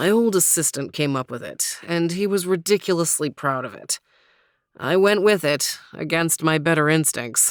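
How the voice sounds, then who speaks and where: A woman growls in a put-on character voice at a fairly low pitch. Her tone is confident and her pace moderate. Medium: read story. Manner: confident, teasing.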